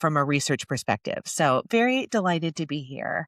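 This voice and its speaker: With an American accent, a woman talks in an animated tone at a moderate pace, her pitch fairly low, in a dry, close sound with no echo. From United States. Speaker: sociologist and professor. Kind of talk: podcast interview.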